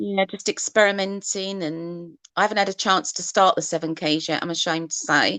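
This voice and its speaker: A woman with an Essex accent speaks in a bright, sharp tone at a moderate pace, with fairly even intonation. She barely pauses, and the sound is dry and close with no echo. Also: medium pitch for a woman. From Essex, England. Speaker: artist, face painter. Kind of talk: casual video chat interview. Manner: hesitant, many fillers.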